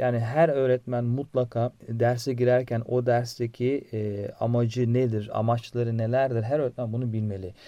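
This man speaks at a moderate pace with hardly any pauses, his pitch medium and his tone dark and mellow. His intonation stays monotone and flat. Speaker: biology teacher. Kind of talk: interview. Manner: halting, many fillers.

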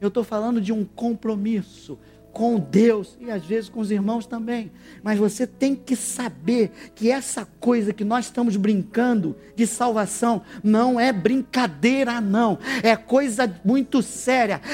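The speaker uses an animated tone at a fairly slow pace. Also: man, high pitch for a man. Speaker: preacher. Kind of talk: sermon. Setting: church with congregation. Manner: animated, exhorting the congregation, call-and-response; emphatic, preacherly delivery.

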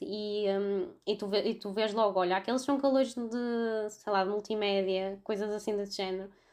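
In a very clean recording with a silent background, a woman with a normal speaking voice and fairly high pitch talks at a moderate pace. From Portugal, Vila Nova de Gaia (Porto area). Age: 20s. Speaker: veterinary student. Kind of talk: casual chat.

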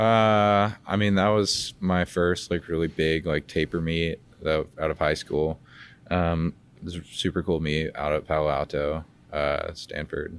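Against a quiet background, a man with an American accent and a very deep, low pitch speaks slowly with fairly even intonation. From Georgia, US (Dunwoody, metro Atlanta). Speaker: Olympic swimmer, college athlete. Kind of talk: interview. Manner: halting, many fillers.

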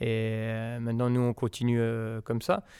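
A man at medium pitch and moderate pace on a very clean recording with a silent background. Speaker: winegrower. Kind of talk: interview. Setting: tasting cellar at the estate.

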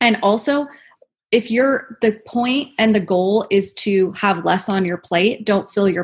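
A woman's somewhat breathy voice, medium in pitch, with ordinary pitch variation, a fairly slow pace, and a quiet background. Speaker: esthetician and podcaster. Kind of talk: interview, casual chat.

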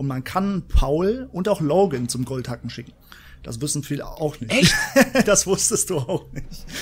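Against noticeable background noise, a man speaks at a fairly slow pace and fairly high pitch, with lively intonation and big swings in loudness. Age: 20s. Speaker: gaming podcast co-host and YouTuber. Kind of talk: casual chat.

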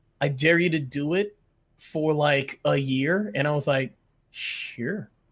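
A man with an unremarkable speaking voice talks at a fairly slow pace and a fairly high pitch with ordinary pitch variation, on a very clean recording with a silent background. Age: 30s. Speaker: Twitch streamer. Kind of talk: casual chat.

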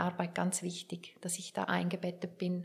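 A woman speaks in a fairly low pitch with vocal fry. Her intonation is monotone and flat. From Switzerland, Werdenberg (St. Gallen). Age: 50s. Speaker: author and biographer. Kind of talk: interview.

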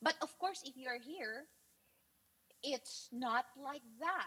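A woman talks with a Filipino accent, her pitch swinging very widely. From Philippines. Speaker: guest expat. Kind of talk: casual interview. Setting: video call.

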